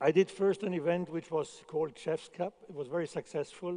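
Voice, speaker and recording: With a non-native accent, a man speaks at a fairly high pitch in a dark, mellow tone with ordinary pitch variation. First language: not English. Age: 60s. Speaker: chef. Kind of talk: conference talk. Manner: halting, with repetitions.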